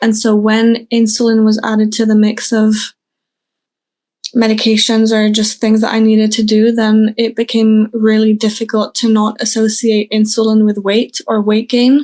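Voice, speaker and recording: Her tone dark and mellow, a woman with fairly high pitch talks at a moderate pace in a monotone, flat intonation with very even loudness. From France. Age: 20s. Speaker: interviewee sharing health experience. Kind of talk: interview.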